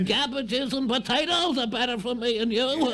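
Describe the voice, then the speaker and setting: A man puts on a character voice at an extremely high pitch, talking at a moderate pace. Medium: audio drama. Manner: rambling, folksy, chuckling.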